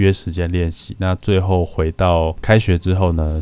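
In a monotone, flat intonation, a man speaks with a very deep, low pitch and a dark, mellow tone. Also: very clean recording, silent background. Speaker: podcast host, paramedic student. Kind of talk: scripted narration.

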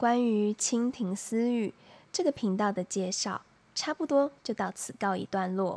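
A woman with a fairly high pitch speaks at a very slow pace in a soothing tone, with very wide pitch swings. The recording is very clean, with a silent background and a dry, close sound with no echo. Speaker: podcast host. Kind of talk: solo monologue. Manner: soothing, sleep-inducing.

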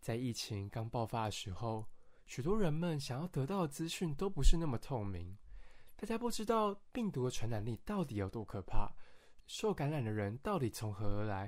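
Very wide pitch swings mark this speech, heard in a very clean recording with a silent background. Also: man, medium pitch for a man, moderate pace. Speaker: podcast host, psychology student. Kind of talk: scripted educational podcast narration. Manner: friendly, conversational.

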